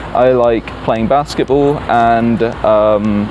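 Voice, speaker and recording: A man with a British accent speaks with fairly even intonation over music in the background. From UK. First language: Italian. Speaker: English teacher. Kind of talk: interview answers. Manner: hesitant, many fillers.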